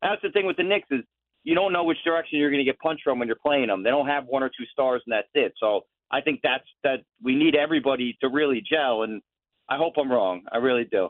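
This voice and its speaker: A fairly high-pitched man with lively intonation at a very fast pace. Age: 30s. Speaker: caller. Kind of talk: phone-in call.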